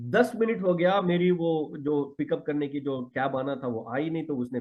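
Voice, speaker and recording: A man is talking here. His intonation is lively. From Karnataka, South India. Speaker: network marketing leader. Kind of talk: motivational talk. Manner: animated.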